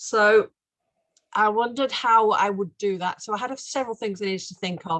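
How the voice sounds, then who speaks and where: With a Mancunian accent, a woman speaks at medium pitch and a moderate pace. The sound is dry and close, with no echo. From Manchester, England. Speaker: painter. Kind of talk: interview talk about her art project.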